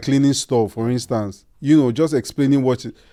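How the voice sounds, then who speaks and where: With a Nigerian accent, a man speaks at a fairly quick pace in a medium pitch and a dark, mellow tone, on a very clean recording with a silent background. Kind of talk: casual chat.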